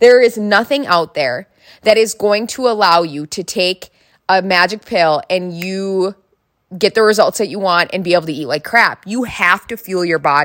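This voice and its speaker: An animated woman with an Upper Midwest accent on a very clean recording against a silent background. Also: medium pitch for a woman, ordinary pitch variation, moderate pace. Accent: Upper Midwest American. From North Dakota. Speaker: podcast host, fitness instructor, former teacher. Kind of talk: casual solo monologue.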